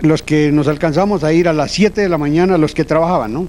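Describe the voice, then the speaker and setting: Here a man has a fairly high pitch and a dark, mellow tone. He moves at a fairly quick pace with ordinary pitch variation. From Colombia, Boyacá countryside. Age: 60s. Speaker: transport cooperative founder. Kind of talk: interview, personal reminiscence.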